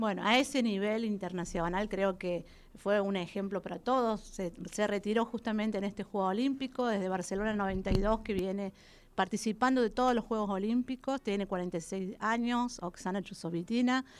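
A woman talks at a moderate pace and medium pitch in a plain, everyday voice. The recording is very clean, with a silent background. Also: fairly even intonation. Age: 40s. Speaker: gymnast and coach. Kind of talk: radio interview. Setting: radio studio.

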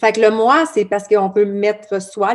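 A woman with a Quebec accent speaks at a moderate pace in a fairly high pitch. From Quebec, Abitibi. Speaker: blog founder. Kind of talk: podcast interview. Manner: casual, many fillers.

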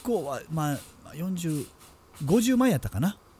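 A man speaking at a very slow pace. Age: middle-aged. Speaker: podcast co-host, creator. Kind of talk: casual chat.

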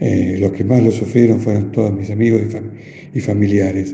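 A man speaks in a fairly low pitch with fairly even intonation. Audible room echo and noticeable background noise surround him. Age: 50s. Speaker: COVID survivor. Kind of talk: testimony. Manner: halting, hesitant.

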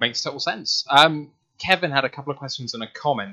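A man of medium pitch speaks at a fairly quick pace with a British accent. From UK. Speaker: podcast host. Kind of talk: interview. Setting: video call.

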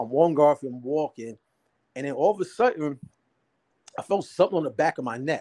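Dry and close with no echo, a man's dark, mellow voice sits at a fairly high pitch, moving at a fairly quick pace broken by long, frequent pauses. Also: lively intonation. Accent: American. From New Jersey, Jersey City. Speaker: stand-up comedian and filmmaker. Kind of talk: casual interview storytelling.

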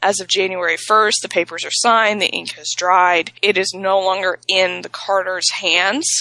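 The tone is bright and sharp, with monotone, flat intonation. There are hardly any pauses. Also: woman, medium pitch for a woman, moderate pace, big swings in loudness. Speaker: wrestling podcast co-host. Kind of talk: casual chat.

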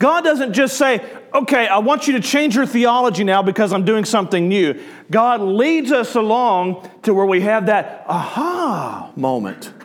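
Audible room echo surrounds a man with a Southern US accent. His high voice moves fairly slowly, with lively intonation. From US South. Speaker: pastor. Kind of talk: sermon. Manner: animated.

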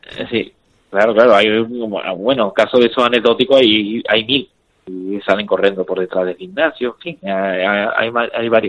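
A man speaks in a normal speaking voice at a moderate pace. His pitch is medium, with ordinary pitch variation. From Spain. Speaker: professional MMA fighter. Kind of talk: interview.

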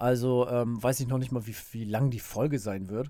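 A man's medium-pitched voice with a dark, mellow tone, fairly even intonation and a fairly quick pace, on a very clean recording with a silent background. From northern Germany, Bremerhaven. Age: 30s. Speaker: podcaster. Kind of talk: casual monologue. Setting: home recording booth. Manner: casual with many fillers.

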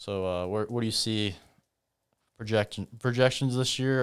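This man speaks with a Midwestern US accent at a fairly low pitch. The recording is very clean, with a silent background. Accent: US Midwest. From Iowa (Humboldt). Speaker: podcast host, sports fan. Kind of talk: casual interview chat. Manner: rambling, many fillers (like).

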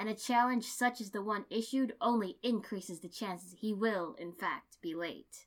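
In a booming, put-on character voice, a woman talks at a moderate pace with fairly high pitch and hardly any pauses. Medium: read story. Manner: loud, grandiose, theatrical.

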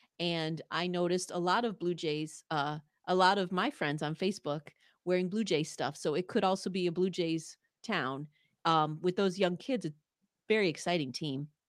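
A woman speaks in a plain, everyday voice with a fairly low pitch and ordinary pitch variation. Her moderate pace comes through on a very clean recording with a silent background. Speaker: sports podcaster and Bills fan. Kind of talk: casual chat. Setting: home studio. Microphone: large studio microphone.

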